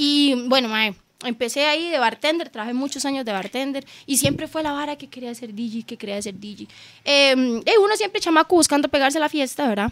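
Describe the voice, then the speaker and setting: In a high pitch, a woman talks at a fairly quick pace with lively intonation. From southern Costa Rica. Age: 30s. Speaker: DJ. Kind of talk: casual chat.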